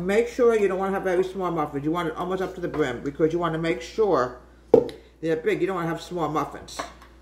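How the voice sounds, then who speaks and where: There is noticeable background noise as a woman speaks at a very fast pace. Her fairly low pitch has ordinary variation. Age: 60s. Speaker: home cooking video host. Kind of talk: cooking tutorial with reminiscing. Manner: casual, chatty.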